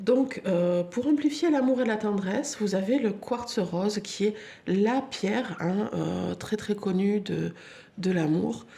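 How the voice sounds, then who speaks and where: A woman talks very slowly, her pitch varying in an ordinary way, with noticeable background noise behind her. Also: medium pitch for a woman. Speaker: crystal healing video host. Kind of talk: casual tutorial. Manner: hesitant, many fillers.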